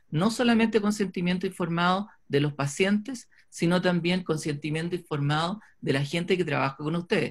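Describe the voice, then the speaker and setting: A man talks at a fairly quick pace with a high pitch. His pitch varies in an ordinary way, and the background is quiet. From Chile. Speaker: orthodontist, webinar host; webinar host. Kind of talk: announcements and introduction. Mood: serious, warm at end. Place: home room. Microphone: webcam.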